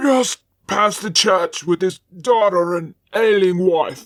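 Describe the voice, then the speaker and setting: Using a put-on character voice, a woman speaks at a medium pitch and a fairly slow pace. Her delivery is raspy and growling. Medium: read story.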